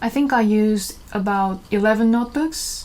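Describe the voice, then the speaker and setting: A woman speaks with a Korean accent at a medium pitch. Noticeable background noise can be heard. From South Korea. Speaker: artist and fashion designer. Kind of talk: studio tour. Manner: slow.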